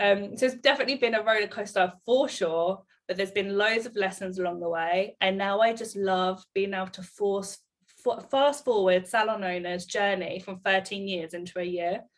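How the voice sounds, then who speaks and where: A woman speaks at a moderate pace with an English accent. Her pitch sits in the middle range, with ordinary variation. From England, Bedfordshire. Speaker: salon owner and business mentor. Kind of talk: casual chat.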